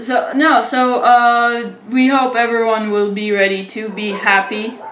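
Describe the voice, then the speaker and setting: A woman speaks at a fairly slow pace and fairly high pitch, with ordinary pitch variation. Audible room echo and noticeable background noise are present. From Israel. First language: Hebrew. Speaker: interviewer. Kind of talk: casual chat. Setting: video call.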